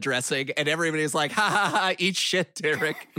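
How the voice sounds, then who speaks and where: This man has an unremarkable speaking voice, fairly high in pitch, moving at a moderate pace with ordinary pitch variation. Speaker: podcast co-host. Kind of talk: casual comedic chat about movies.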